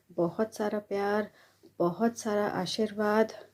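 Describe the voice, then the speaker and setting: Dark, mellow tone in a woman's fairly high-pitched voice. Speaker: old college friend. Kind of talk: recorded video greeting.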